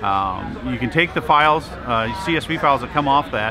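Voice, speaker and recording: A man talks at a moderate pace with ordinary pitch variation while music plays in the background. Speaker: presenter. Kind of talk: interview answer. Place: hall.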